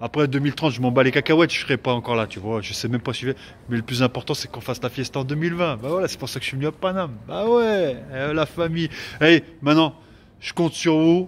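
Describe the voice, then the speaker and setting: The intonation is lively. The pace is very fast. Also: man, fairly high pitch for a man. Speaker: comedian. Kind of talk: casual talk to camera. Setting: outdoors. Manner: animated, rambling.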